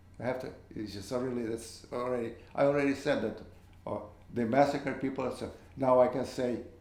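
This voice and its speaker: A man's fairly quick, fairly evenly intoned speech with audible room echo. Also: long, frequent pauses. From Ukraine. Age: 80s+. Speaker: interviewee. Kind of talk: interview. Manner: halting.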